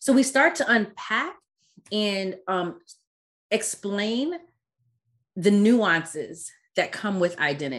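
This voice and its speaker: At a very slow pace, a woman speaks with very wide pitch swings and long, frequent pauses. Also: medium pitch for a woman. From Caribbean-born, raised in US. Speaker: DEI consultant and founder. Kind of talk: casual interview conversation.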